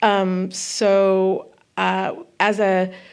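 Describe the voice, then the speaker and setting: Audible room echo surrounds this recording. A woman with an American accent speaks at medium pitch. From Northern California (Santa Cruz). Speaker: costume designer. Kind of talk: live onstage interview. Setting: stage with audience.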